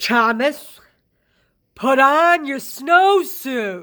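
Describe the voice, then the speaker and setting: On a very clean recording with a silent background, a woman puts on a character voice pitched high. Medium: read story. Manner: stern, commanding.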